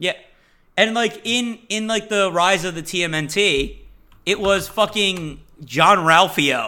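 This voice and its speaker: A man speaks in a raised, projected voice with a high pitch and a bright, sharp tone. He talks at a very slow pace on a very clean recording with a silent background. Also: ordinary pitch variation. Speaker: podcast co-host. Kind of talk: casual chat. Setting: live stream with chat.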